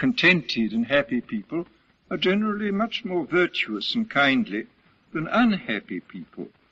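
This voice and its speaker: Someone with an English accent speaks at a moderate pace, the pitch swinging very widely. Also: man, high pitch for a man. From Britain. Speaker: writer and philosopher. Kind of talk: lecture.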